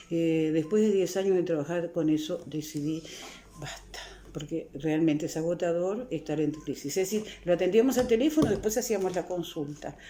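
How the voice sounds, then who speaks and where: At a moderate pace, a woman with a fairly low pitch speaks in a Uruguayan accent with ordinary pitch variation. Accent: Rioplatense Spanish (Uruguayan). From Uruguay, Montevideo (La Teja). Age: 60s. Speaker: psychologist and author. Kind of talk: interview.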